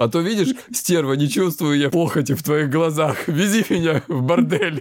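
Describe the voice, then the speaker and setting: A man proceeds at a moderate pace on a very clean recording, the background silent. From southern Russia, Kuban. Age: 30s. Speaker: podcast host, psychologist. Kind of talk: casual chat.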